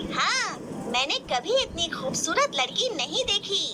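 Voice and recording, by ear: Over loud background noise, a cartoonish character voice moves at a fairly slow pace.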